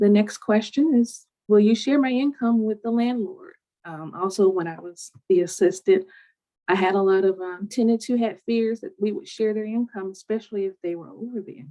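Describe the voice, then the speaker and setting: Her voice fairly high with a dark, mellow tone, a woman speaks with ordinary pitch variation and big swings in loudness. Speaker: city housing program staff presenter. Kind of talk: webinar presentation. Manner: fast.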